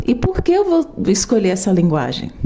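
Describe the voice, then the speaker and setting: A woman speaks over noticeable background noise. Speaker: programmer and tech educator. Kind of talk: tutorial. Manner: slow.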